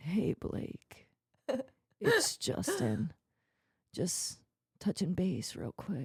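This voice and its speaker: A put-on character voice mixes growling with whispering. It moves at a very slow pace with long, frequent pauses. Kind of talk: casual, businesslike.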